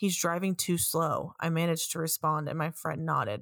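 A woman's animated, fairly low voice at a fairly quick pace, on a very clean recording with a silent background. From New York. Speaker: podcast host. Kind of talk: reading a reddit ghost story aloud, first-person narration in a hushed, suspenseful tone. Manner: casual, profane, animated.

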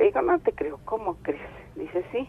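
Her intonation lively, a woman speaks. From State of Mexico. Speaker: caller. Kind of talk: phone-in storytelling.

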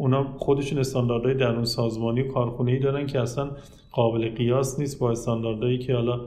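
A man talks at a very fast pace in a medium pitch, his intonation monotone and flat and his loudness very even, with audible room echo around him. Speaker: automotive inspection engineer and company manager. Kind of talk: interview.

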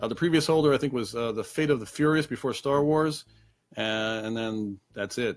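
Speaking with a Long Island accent, a man shows ordinary pitch variation. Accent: New York (Long Island). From Long Island, New York. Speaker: trivia host. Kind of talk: casual live-stream trivia show. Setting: home apartment, webcam stream. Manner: casual, many fillers (um, uh).

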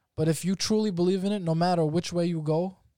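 Speaking with a New York accent, a man keeps a moderate pace and fairly even intonation. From Staten Island, New York. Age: 20s. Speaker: professional MMA fighter. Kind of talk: casual interview chat.

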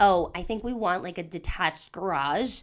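A woman's normal speaking voice at medium pitch, with ordinary pitch variation and moderate pace, in a very clean recording with a silent background. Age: 30s. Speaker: podcast co-host. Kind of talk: casual chat.

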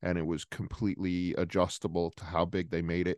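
A man with a Rhode Island accent and a very deep, low pitch talks at a fairly quick pace with fairly even intonation, in a dry, close sound with no echo against a quiet background. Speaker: sports journalist. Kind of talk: casual interview.

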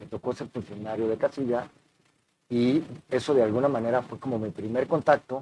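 A man of medium pitch talks at a fairly quick pace in a dark, mellow tone. His intonation stays fairly even. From Mexico City. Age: 40s. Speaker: election official. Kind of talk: interview.

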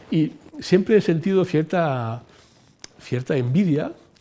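In a quiet setting, a man speaks in a dark, mellow tone. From Italy (Rome). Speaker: former senior EU civil servant. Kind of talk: interview.

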